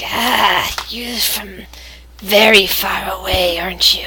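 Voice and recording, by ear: A raspy put-on character voice at a middle pitch and fairly slow pace, with clear background noise.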